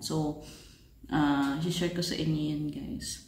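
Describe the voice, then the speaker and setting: A soft-spoken woman is heard with audible room echo. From Philippines. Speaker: family vlogger. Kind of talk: casual vlog update. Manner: soft-spoken, lowered voice.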